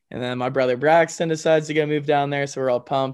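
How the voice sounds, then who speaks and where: A man speaks with an American accent. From US South, Georgia (Canton, north of Atlanta). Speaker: country singer. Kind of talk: casual interview chat.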